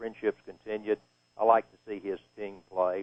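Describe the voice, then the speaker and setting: A man speaks with a Texan accent. His pace is moderate and his intonation fairly even. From East Texas. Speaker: retired sportscaster. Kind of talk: live halftime radio interview.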